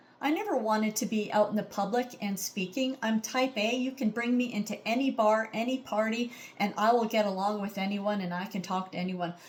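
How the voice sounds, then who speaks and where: A woman's fairly high-pitched voice at a fairly quick pace with hardly any pauses. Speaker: audition speaker sharing illness story. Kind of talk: audition monologue. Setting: recorded to camera. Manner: loud; animated.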